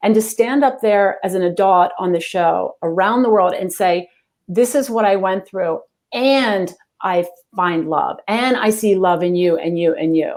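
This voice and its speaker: With ordinary pitch variation, this woman's speech unfolds at a fairly slow pace. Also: medium pitch for a woman. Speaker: executive coach and speaker. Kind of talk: interview. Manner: animated.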